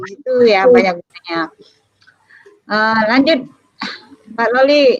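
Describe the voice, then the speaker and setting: Dry and close with no echo, the recording captures a woman whose pitch is fairly high. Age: middle-aged. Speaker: librarian and lecturer. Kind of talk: lecture. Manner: halting.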